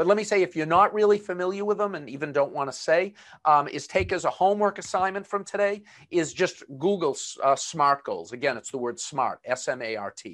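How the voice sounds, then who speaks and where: Someone talks at a fairly quick pace with a Boston accent over a quiet background. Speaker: webinar presenter. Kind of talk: webinar presentation. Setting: online video webinar. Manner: filler-heavy, conversational.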